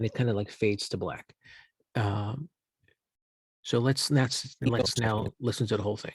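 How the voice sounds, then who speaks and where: Long, frequent pauses mark a man's medium-pitched, somewhat breathy speech. His intonation is fairly even, and the sound is dry and close with no echo. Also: moderate pace. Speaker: journalism instructor. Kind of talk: tutorial.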